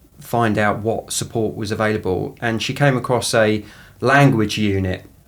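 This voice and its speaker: A man with an Essex accent talks at a fairly slow pace and a fairly low pitch. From southeast England, Essex. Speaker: equality, diversity and inclusion professional. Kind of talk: podcast interview. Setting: studio. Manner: halting, many fillers and repetitions.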